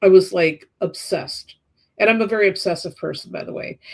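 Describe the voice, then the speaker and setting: A woman speaks at a medium pitch. She has an unremarkable speaking voice. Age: 60s. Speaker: tarot reader and astrologer. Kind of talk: casual interview chat.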